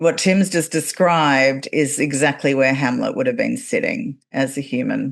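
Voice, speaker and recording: Against a quiet background, someone with an Australian accent speaks at a fairly slow pace with lively intonation. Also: woman. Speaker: podcast host and actor. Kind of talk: casual interview chat.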